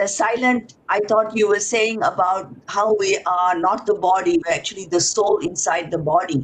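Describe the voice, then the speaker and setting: Over noticeable background noise, the speaker uses a Tamil accent and lively intonation, keeping a moderate pace with hardly any pauses and very even loudness. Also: woman, medium pitch for a woman. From Singapore. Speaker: event speaker. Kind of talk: casual chat. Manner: halting.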